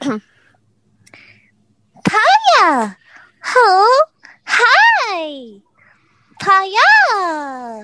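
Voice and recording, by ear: An extremely high put-on character voice goes very slowly, with very wide pitch swings and long, frequent pauses.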